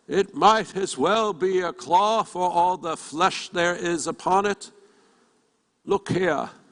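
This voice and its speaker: The pace is fairly slow. A man uses a put-on character voice, pitched high. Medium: read story. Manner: solemn, grave.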